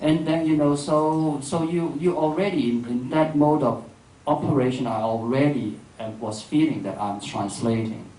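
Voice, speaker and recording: A man's dark, mellow voice with a Cantonese accent, moderate pace, ordinary pitch variation and audible room echo. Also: fairly high pitch for a man. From Hong Kong. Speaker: filmmaker and writer. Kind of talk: public dialogue. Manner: halting.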